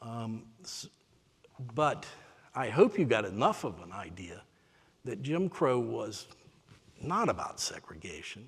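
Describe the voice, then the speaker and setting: Using an American accent, a man speaks at a fairly slow pace in a somewhat breathy voice, with long, frequent pauses, very wide pitch swings and big swings in loudness. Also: medium pitch for a man. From US South, Spartanburg, South Carolina. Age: 60s. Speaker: author and lecturer. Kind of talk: lecture.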